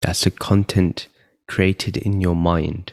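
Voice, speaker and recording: In a very clean recording with a silent background and a dry, close sound with no echo, a man with a very deep, low pitch and a somewhat breathy, calm tone speaks at a very slow pace with fairly even intonation. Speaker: meditation guide. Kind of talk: guided meditation. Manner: slow, calm.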